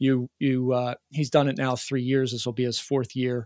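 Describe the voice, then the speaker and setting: A man speaks in a normal speaking voice at medium pitch and a moderate pace. The sound is dry and close with no echo, on a very clean recording with a silent background. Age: 40s. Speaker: peak performance coach. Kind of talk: interview.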